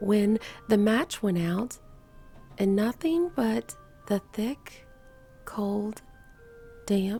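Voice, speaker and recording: A soft-spoken woman talks at a very slow pace with a fairly high pitch and long, frequent pauses. Music plays in the background. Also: ordinary pitch variation. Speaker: bridal gown seamstress. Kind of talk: story reading.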